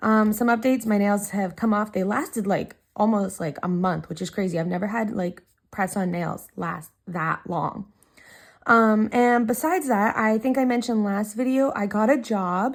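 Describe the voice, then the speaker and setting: Captured on a very clean recording with a silent background, a woman speaks in a plain, everyday voice at a fairly high pitch, with moderate pace and ordinary pitch variation. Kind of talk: casual talk to camera.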